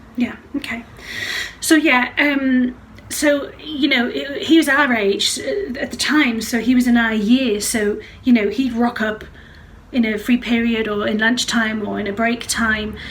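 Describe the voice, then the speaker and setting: A woman with a high voice speaks fairly slowly, with ordinary pitch variation. There is noticeable background noise behind her. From West Midlands, then Northumberland. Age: 40s. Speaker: singing teacher. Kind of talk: casual interview chat.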